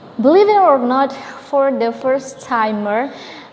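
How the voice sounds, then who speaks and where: A woman talks very slowly with a high voice. There is noticeable noise behind her. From Indonesia. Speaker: English-learning YouTuber. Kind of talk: casual tutorial vlog.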